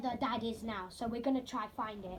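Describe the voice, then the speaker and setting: Ordinary pitch variation is present. The speaker is a woman. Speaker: roleplay gamer explaining story lore. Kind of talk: casual explanation. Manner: halting, many fillers.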